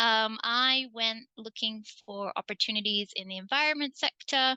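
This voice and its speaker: A woman with an English accent, fairly high-pitched and bright, sharp in tone, at a moderate pace with ordinary pitch variation, in dry, close sound with no echo and a quiet background. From England. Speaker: community energy co-op board member, environmental program coordinator. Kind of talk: online panel presentation.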